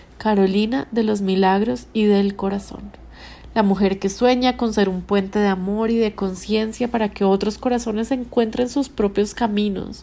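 Her tone dark and mellow, a woman speaks at a moderate pace with fairly even intonation and very even loudness. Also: medium pitch for a woman. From Colombia, Bogotá. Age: 30s. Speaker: podcast host. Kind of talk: scripted narration. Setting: hotel room.

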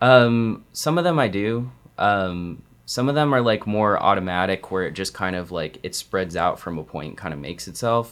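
In a very clean recording with a silent background, a man with a plain, everyday voice and an American accent speaks at a moderate pace, his fairly low pitch carried by lively intonation. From Arizona. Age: 20s. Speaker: painter.

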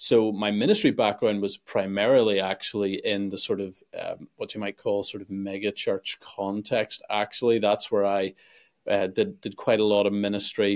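A man with a Northern Irish accent, dry and close with no echo, on a very clean recording with a silent background. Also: moderate pace. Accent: Northern Irish (Belfast). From Northern Ireland, Belfast. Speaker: pastor and YouTuber. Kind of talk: interview conversation.

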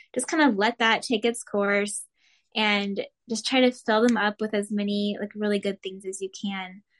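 With an American accent, a woman speaks in a normal speaking voice at medium pitch and a moderate pace, her intonation fairly even, the sound dry and close with no echo over a quiet background. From Arizona. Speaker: food blogger and health coach. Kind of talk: casual interview chat.

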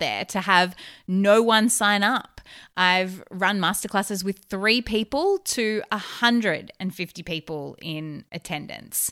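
A woman with an Australian accent speaks at medium pitch in a bright, sharp tone. The recording is very clean, with a silent background. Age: 30s. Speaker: podcast host, therapist and business coach. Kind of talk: solo podcast monologue. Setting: recorded while travelling abroad.

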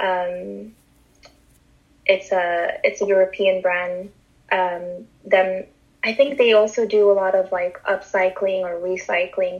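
With a Montreal accent, the speaker talks at a very slow pace with fairly even intonation. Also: woman, medium pitch for a woman. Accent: Montreal English, Canadian. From Montreal, Canada. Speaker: fashion and sneaker enthusiast. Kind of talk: casual interview.

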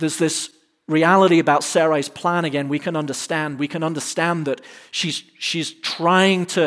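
The speaker has an English accent and fairly even intonation at a moderate pace. The recording is very clean with a silent background. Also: man. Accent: English, clearly noticeable. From England. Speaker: pastor. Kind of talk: sermon. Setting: church stage with live audience.

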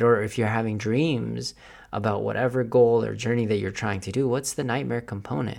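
This man speaks with vocal fry and ordinary pitch variation. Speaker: podcast host. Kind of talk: solo podcast monologue. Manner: casual, motivational.

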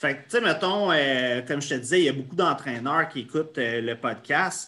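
A bright, sharp tone at a moderate pace, in a Quebec accent. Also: man. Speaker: podcast host. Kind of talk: interview.

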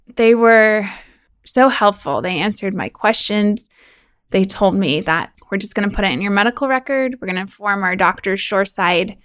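Her pitch sits at a medium level. The woman's voice rises and falls in an ordinary way. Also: moderate pace, very clean recording, silent background. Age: 30s. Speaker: podcast host and offshore drilling worker. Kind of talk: personal audio diary.

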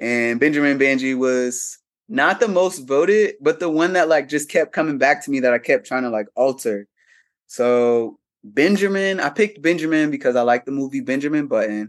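A man with a fairly high pitch, lively intonation and an American accent, at a moderate pace over a quiet background. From Ohio, US (Cincinnati). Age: 30s. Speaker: veteran, activist, model and drag king. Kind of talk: casual interview chat.

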